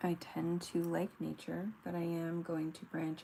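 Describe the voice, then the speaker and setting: A soft-spoken woman with an American accent, very deep and low in pitch, dark and mellow in tone, at a fairly slow pace. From US East Coast. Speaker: digital artist streamer. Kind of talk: casual livestream chat while drawing. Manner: halting.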